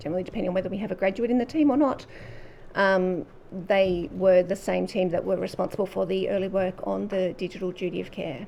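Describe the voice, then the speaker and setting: A quiet woman with an Australian accent talks at a very fast pace in a medium pitch, her dark, mellow tone touched with vocal fry and ordinary pitch variation. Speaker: government official. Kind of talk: sworn testimony. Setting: public hearing. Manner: formal.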